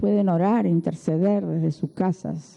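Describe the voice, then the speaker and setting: A woman with a fairly low pitch. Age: 60s. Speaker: preacher. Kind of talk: sermon.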